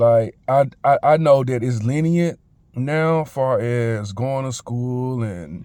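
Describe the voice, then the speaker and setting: An American-accented man speaks at a very slow pace. His medium-pitched voice has a dark, mellow tone and ordinary pitch variation. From Memphis, Tennessee (US South). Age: 30s. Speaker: vlogger. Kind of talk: testimony. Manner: casual, halting with many fillers.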